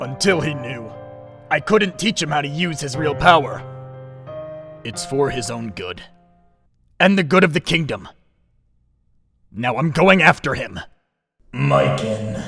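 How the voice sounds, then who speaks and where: A man's put-on character voice, fairly high in pitch, at a moderate pace with long, frequent pauses and faint music in the background. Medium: audio drama. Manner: firm, serious.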